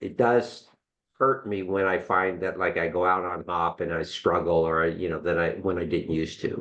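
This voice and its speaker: A man at a moderate pace over a quiet background. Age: 60s. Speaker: podcast co-host and amateur cyclist. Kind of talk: casual chat. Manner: halting, many restarts.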